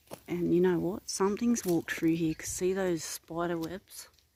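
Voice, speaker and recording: A woman speaks at a moderate pace in a fairly low voice, her intonation fairly even and the sound dry and close with no echo. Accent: Australian. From Australia, Narrabri NSW. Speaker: paranormal investigator vlogger. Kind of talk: outdoor vlog narration. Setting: outdoors in bushland.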